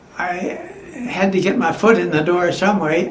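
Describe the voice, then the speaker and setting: With noticeable background noise in the recording, a man talks at a fairly slow pace in a high pitch with ordinary pitch variation. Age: 80s+. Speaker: former aircraft mechanic; World War Two veteran worker. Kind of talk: oral history interview answer.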